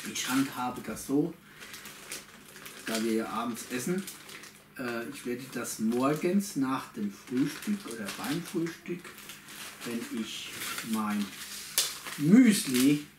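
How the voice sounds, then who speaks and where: A man talks at a very slow pace with lively intonation and long, frequent pauses, noticeable background noise behind him. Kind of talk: casual vlog chat. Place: home room. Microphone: camera far.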